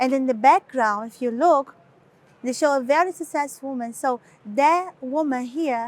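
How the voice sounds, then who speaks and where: A woman's high-pitched voice with lively intonation in a strong Brazilian accent. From Brazil, Recife. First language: Portuguese. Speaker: model and author. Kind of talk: interview. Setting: London fashion week shoot, two cameras. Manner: halting, many fillers.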